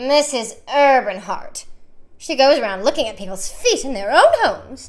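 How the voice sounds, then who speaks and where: Putting on a character voice, a woman speaks at a moderate pace in a shrill, high pitch with very wide pitch swings and big swings in loudness. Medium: read story. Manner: gushing, fawning.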